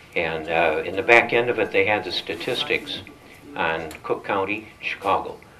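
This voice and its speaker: A man speaks in an American accent at a moderate pace, with noticeable background noise behind him. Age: 80s+. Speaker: business owner and political activist. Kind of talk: political speech. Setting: breakfast event with audience. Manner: halting, many fillers.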